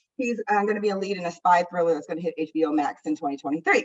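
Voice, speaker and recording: A woman speaks with an American accent. Her pace is very fast. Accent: strong Midwest accent with DC roots. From US Midwest, Indianapolis. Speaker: public health official. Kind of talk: conference presentation.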